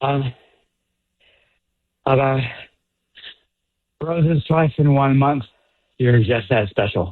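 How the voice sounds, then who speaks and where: Here a man talks at a very slow pace and medium pitch, with very even loudness, ordinary pitch variation and long, frequent pauses. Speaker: caller on a radio prank segment. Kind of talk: phone conversation. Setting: phone call, outdoors on a run. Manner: halting, hesitant.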